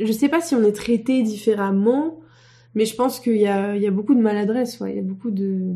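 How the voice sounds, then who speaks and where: A woman with a dark, mellow tone talks at a fairly quick pace, her fairly high pitch showing ordinary pitch variation. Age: 20s. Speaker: motion designer, studio co-founder. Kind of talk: casual interview.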